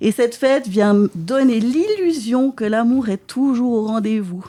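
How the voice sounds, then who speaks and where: In a Swiss accent, a woman speaks at a fairly slow pace. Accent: Neuchâtel Swiss French, pronounced. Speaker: comedian. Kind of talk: stand-up comedy chronicle. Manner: animated.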